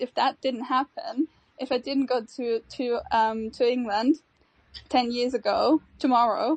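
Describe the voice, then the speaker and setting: Speaking fairly slowly, a woman has a high pitch and a German accent. Her intonation is fairly even. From Austria. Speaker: NFT project co-founder. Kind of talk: casual chat.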